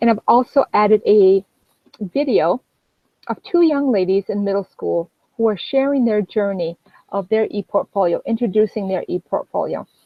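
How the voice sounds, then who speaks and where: The voice carries a French accent. Its pitch varies in an ordinary way. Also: woman, fairly high pitch for a woman. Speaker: educator. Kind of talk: webinar presentation. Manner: fast.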